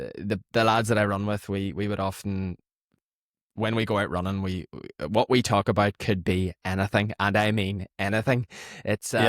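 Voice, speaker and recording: Someone speaks with an Irish accent at a moderate pace and fairly even intonation. The recording is very clean, with a silent background and a dry, close sound with no echo. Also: man, fairly low pitch for a man. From Lurgan, Northern Ireland. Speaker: distance runner, podcast guest. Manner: relaxed, conversational, with hesitations.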